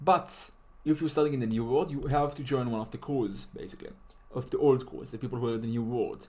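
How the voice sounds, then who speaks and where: Speaking with a non-native accent, a man uses a medium pitch and ordinary pitch variation. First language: not English. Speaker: game tutorial maker. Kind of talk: tutorial. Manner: casual, halting with fillers.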